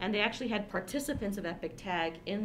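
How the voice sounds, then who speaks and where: A woman talks at a fairly quick pace over light background noise. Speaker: podcast co-host. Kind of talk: casual podcast discussion. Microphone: studio mic.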